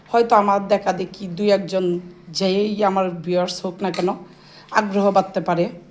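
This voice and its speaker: A woman's voice, middle in pitch and monotone and flat in intonation. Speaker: family vlogger. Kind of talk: vlog narration.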